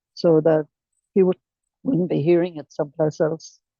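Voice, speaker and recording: In an Irish accent, a woman speaks at a fairly low pitch with a dark, mellow tone and fairly even intonation. The sound is dry and close, with no echo. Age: 80s+. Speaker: recovering alcoholic sharing her story. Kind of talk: testimony.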